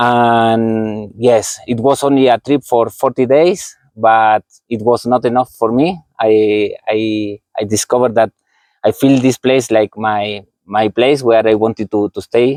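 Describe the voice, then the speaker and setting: A man's medium-pitched voice with an Argentine accent, fairly slow and fairly even in intonation, against a quiet background. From Argentina. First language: Spanish. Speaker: physiotherapist and running coach. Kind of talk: interview. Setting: outdoors under a tree. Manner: halting, repeats words.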